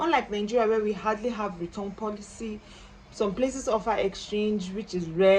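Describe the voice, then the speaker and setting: A woman with a normal speaking voice talks at a moderate pace and medium pitch, her intonation fairly even, over light background noise. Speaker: small business owner and vlogger; vlogger giving shopping advice. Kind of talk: tutorial. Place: home room. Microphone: phone near.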